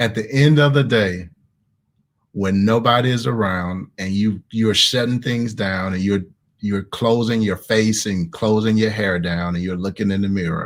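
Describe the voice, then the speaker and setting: A man's fairly low voice with an animated tone, ordinary pitch variation and a moderate pace. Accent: Southern. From US South, Mississippi. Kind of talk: online group discussion with teaching.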